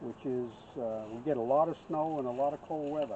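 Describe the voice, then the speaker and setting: Over noticeable background noise, a man talks in a fairly high pitch with fairly even intonation. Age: 70s. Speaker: beekeeper. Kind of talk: casual chat. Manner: halting.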